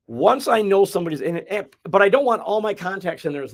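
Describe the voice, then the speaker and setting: A man with a Midwestern accent talks with very wide pitch swings. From US Midwest. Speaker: real estate agent. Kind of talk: casual chat.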